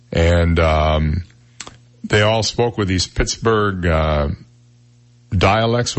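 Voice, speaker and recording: Booming and very deep in pitch, a man speaks at a very slow pace with long, frequent pauses. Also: ordinary pitch variation. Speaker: radio talk show host. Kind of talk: conversational broadcast style.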